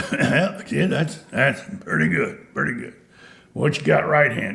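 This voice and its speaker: Put-on character voice, raspy, with very wide pitch swings and a moderate pace. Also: man, fairly high pitch for a man. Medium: solo performance. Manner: dry, laconic.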